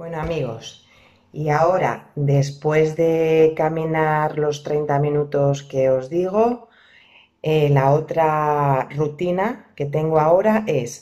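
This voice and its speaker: In a quiet background, a woman speaks very slowly in a very deep, low voice with ordinary pitch variation. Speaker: vlogger. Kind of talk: casual vlog chat. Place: home room. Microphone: phone near.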